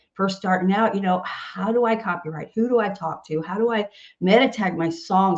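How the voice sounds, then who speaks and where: In an animated, somewhat breathy tone, a woman of medium pitch speaks at a moderate pace with lively intonation. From US South, Nashville, Tennessee. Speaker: singer-songwriter and music organization founder. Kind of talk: podcast interview.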